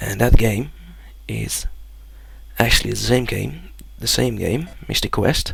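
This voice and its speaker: A man with a Dutch accent talks at a fairly slow pace with long, frequent pauses, and room echo is audible. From Netherlands. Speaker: gamer, let's play creator. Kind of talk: let's play commentary.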